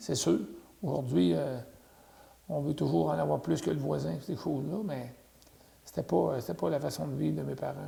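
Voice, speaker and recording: Speaking in a Quebec accent, this voice moves at a moderate pace with long, frequent pauses. The pitch swings very widely. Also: man, medium pitch for a man. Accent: Québécois French. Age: 60s. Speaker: interviewee sharing family history. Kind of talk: oral history interview.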